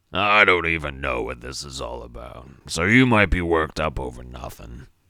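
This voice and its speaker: Putting on a character voice, a man growls out a raspy, very deep, low pitch with lively intonation and big swings in loudness at a moderate pace. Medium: read story. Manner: gruff, sardonic, streetwise.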